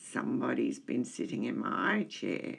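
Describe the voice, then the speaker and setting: A put-on character voice growls in a raspy way at a moderate pace. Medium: read story.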